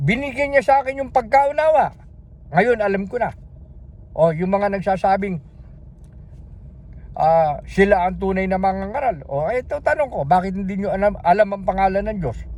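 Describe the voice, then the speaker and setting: A man speaks loudly at a high pitch, his tone animated and intonation lively. He takes long, frequent pauses. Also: moderate pace. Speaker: religious video preacher. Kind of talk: sermon.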